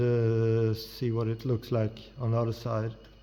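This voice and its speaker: Speaking with a non-native accent, a man with a medium pitch and a dark, mellow tone talks at a very slow pace. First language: not English. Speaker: metalworker. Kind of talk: tutorial. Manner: halting.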